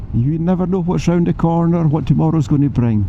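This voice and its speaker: A man with a Scottish accent talks at a fairly quick pace and fairly high pitch with lively intonation, amid noticeable background noise and audible room echo. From Scotland. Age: 70s. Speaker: motorcycle vlogger. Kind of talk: vlog narration while riding. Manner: animated.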